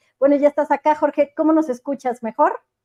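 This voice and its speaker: A woman's fairly even intonation, with a dry, close sound with no echo and a quiet background. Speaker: economics show host. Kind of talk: live interview.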